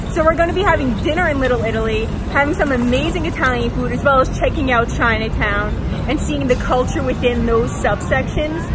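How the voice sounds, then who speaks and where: With music in the background and audible room echo, a woman talks at a fairly quick pace. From Long Island, New York. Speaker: travel trip ambassador. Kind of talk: travel vlog. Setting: outdoors in Times Square. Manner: casual, chatty.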